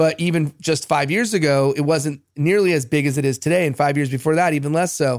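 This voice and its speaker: This man has an unremarkable speaking voice, fairly high in pitch, with ordinary pitch variation and very even loudness at a fairly quick pace. The recording is very clean, over a silent background. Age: 40s. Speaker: podcast host. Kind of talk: interview.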